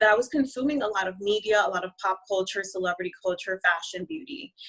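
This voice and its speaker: A woman with a Spanish accent speaks at a very fast pace. Her medium-pitched voice carries lively intonation. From Honduras, raised in the US. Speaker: marketing and branding strategist. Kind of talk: interview.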